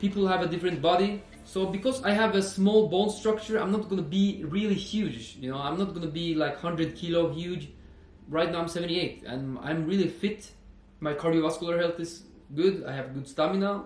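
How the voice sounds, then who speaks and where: A man speaks with a high pitch and ordinary pitch variation. The room echo is audible. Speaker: personal trainer and fitness vlogger. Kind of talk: casual educational monologue. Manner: hesitant, with fillers.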